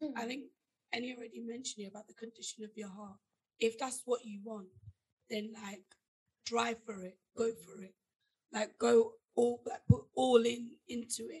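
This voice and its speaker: The tone is dark and mellow, with ordinary pitch variation, big swings in loudness, and long, frequent pauses. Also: woman, fairly high pitch for a woman, moderate pace. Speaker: podcast co-host. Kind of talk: casual chat.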